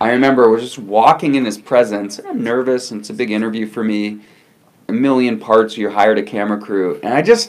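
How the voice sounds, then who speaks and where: A man talks at a very fast pace in a medium pitch, his intonation fairly even. His loudness swings widely, and there is noticeable background noise. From Newfoundland, born in California. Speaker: TV interview host. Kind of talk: interview, casual chat. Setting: video call.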